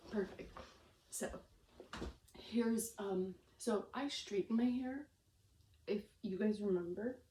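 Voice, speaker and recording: This woman's voice is fairly high, somewhat breathy and dark and mellow in tone. She leaves long, frequent pauses. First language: Romanian. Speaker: vlogger. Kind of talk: casual vlog. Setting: at home, on camera. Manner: halting, stumbling over words.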